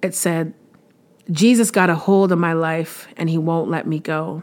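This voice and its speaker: A woman at a moderate pace and fairly low pitch, fairly even in intonation, on a very clean recording with a silent background. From Canada, Windsor, Ontario. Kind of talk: casual faith-based podcast monologue.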